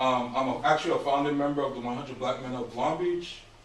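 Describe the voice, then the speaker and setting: Very fast speech from a man comes with audible room echo and noticeable background noise. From US Virgin Islands (St. Croix), born in Brooklyn, New York. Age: 50s. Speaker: mentor and realtor speaking to students. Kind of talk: motivational talk to high school class. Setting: classroom with students. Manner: casual, conversational.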